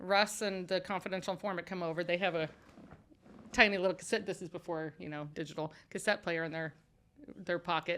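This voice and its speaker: Speaking at a fairly quick pace with a Midwestern American accent, a woman with a fairly low pitch and a bright, sharp tone shows big swings in loudness and takes long, frequent pauses, all in a very clean recording with a silent background. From Kansas City area, Missouri. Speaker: ministry founder sharing redemption story. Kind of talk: testimony. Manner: animated.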